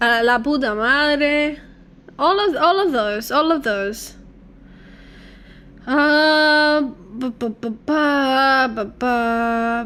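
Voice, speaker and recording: A very slow woman's voice, high-pitched with ordinary pitch variation, broken by long, frequent pauses, in a room with audible echo. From Cuba. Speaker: gaming streamer. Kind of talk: casual livestream chat.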